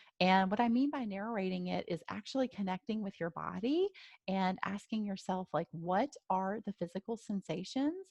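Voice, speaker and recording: A somewhat breathy woman's voice at medium pitch, with ordinary pitch variation and a moderate pace, in a dry, close sound with no echo. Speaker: life coach. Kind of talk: webinar presentation. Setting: live webinar.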